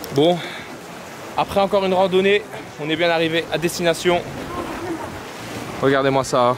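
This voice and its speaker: Against noticeable background noise, a man speaks at a high pitch and a moderate pace with long, frequent pauses. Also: ordinary pitch variation. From Paris, France. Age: 20s. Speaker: travel vlogger. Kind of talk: casual vlog chat. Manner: animated.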